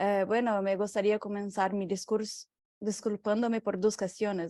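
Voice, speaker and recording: A woman's medium-pitched voice in a Portuguese accent, dark and mellow in tone, with a dry, close sound, no echo and a quiet background. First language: Portuguese (speaking Spanish). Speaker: researcher. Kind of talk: lecture. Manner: halting, many fillers.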